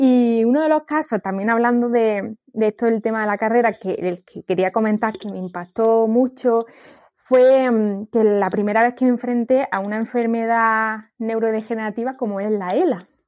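A woman speaks in a fairly high pitch. She has an ordinary speaking voice. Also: fairly even intonation, moderate pace. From Andalusia, Granada. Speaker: occupational therapist. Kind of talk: casual chat.

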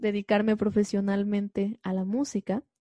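A somewhat breathy woman's voice of medium pitch and dark, mellow tone, at a fairly slow pace, dry and close with no echo. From Mexico, Xalapa, Veracruz. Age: 20s. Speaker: concert pianist. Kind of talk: interview conversation.

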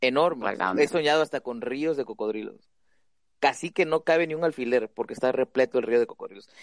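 In an ordinary speaking voice, a man talks at a fairly high pitch and a fairly quick pace with ordinary pitch variation, the sound dry and close with no echo. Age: 20s. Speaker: podcast host. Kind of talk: casual chat.

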